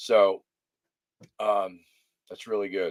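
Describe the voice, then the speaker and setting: A man mumbles in a dry, close sound with no echo. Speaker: livestream interviewer. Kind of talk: casual livestream chat. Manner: mumbling; hesitant, many fillers.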